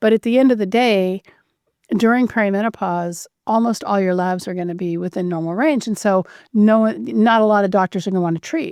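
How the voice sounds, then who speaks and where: A woman's plain, everyday voice at a medium pitch and fairly quick pace, with ordinary pitch variation, in a very clean recording with a silent background. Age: 60s. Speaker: physician. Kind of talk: interview.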